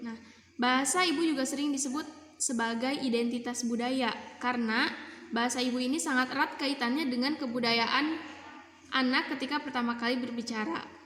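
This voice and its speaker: A woman's high-pitched voice at a fairly quick pace, with fairly even intonation, audible room echo and noticeable background noise. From Indonesia, West Java (Kuningan). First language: Sundanese (speaking Indonesian). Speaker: university student. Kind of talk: class assignment presentation.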